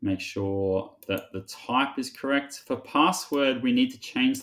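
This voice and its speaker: A normal speaking voice proceeds fairly slowly, its pitch varying in an ordinary way, on a very clean recording with a silent background. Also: man. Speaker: teacher. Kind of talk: tutorial.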